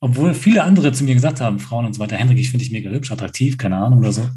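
A man's dark, mellow, somewhat breathy, medium-pitched voice at a very fast pace, with audible room echo. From rural Germany. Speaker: podcast co-host. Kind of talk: casual chat.

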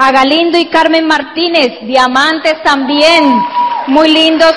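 A woman speaks at a fairly slow pace in a high voice with ordinary pitch variation, and there is noticeable background noise. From Colombia. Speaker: network marketing speaker. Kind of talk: motivational talk. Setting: stage with audience.

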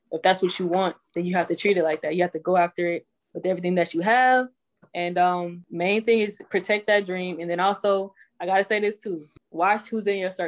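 An unremarkable speaking voice from a woman with an American accent, at a medium pitch with fairly even intonation and a fairly quick pace, over a quiet background. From Houston, Texas. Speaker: professional football player and entrepreneur. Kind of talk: interview.

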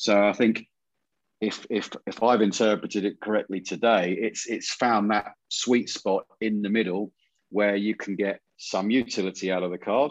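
A man with a normal speaking voice talks at a moderate pace, his fairly low pitch held in fairly even intonation. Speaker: podcast co-host. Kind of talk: casual podcast chat.

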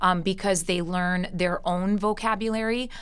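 A woman at medium pitch with ordinary pitch variation. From US, Italian immigrant parents. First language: Italian. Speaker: Italian teacher. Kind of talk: interview answers.

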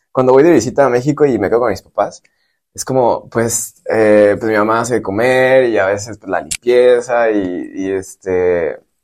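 Speaking in a Mexican accent, a man keeps a fairly slow pace at medium pitch with ordinary pitch variation. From Michoacán, Mexico. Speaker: civil engineer. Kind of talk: casual interview. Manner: halting, many fillers.

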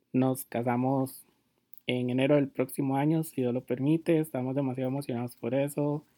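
With a Costa Rican accent, a man speaks in a dark, mellow tone and a monotone, flat intonation. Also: medium pitch for a man, moderate pace. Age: 20s. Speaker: fashion blogger and podcast host. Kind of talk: casual monologue.

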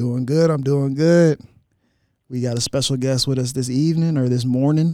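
The speaker is a man with a medium-pitched voice and a dark, mellow tone. He talks at a moderate pace with fairly even intonation. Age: 20s. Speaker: podcast co-host. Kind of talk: casual interview. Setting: remote call.

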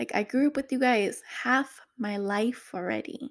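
Animated in tone, a woman speaks with a fairly high pitch and ordinary pitch variation. The recording is very clean with a silent background. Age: 30s. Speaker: podcast host, single mother. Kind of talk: casual monologue.

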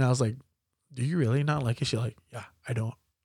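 Here a man talks with a Hawaiian accent. His pace is fairly quick and his voice somewhat breathy. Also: very clean recording, silent background. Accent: Hawaii local English. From Hawaii, Waianae (Oahu). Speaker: voice-over comedian and content creator. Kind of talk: casual chat.

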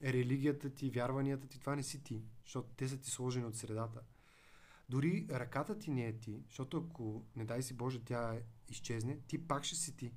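At a moderate pace, a man talks in a somewhat breathy voice at a medium pitch with ordinary pitch variation. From Bulgaria, Veliko Tarnovo. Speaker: digital marketing agency director and lecturer. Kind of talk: podcast interview.

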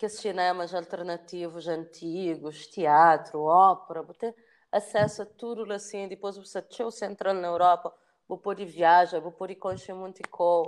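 A woman's plain, everyday voice, fairly low in pitch, with big swings in loudness, fairly even intonation and a fairly slow pace over a quiet background. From Cape Verde, São Vicente. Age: 30s. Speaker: filmmaker. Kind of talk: interview.

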